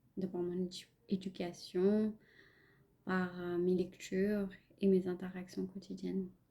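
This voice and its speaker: With a non-native accent, a woman speaks at a very slow pace with long, frequent pauses, her medium-pitched voice somewhat breathy, dark and mellow in tone, and monotone and flat in intonation. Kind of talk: personal reflective podcast monologue.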